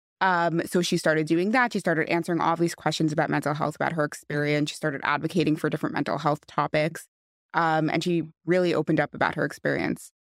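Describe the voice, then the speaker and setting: With an American accent, a woman speaks very fast at a very deep, low pitch, keeping her loudness very even. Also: fairly even intonation, very clean recording, silent background. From West Hempstead, New York. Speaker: friend of the deceased. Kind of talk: podcast interview.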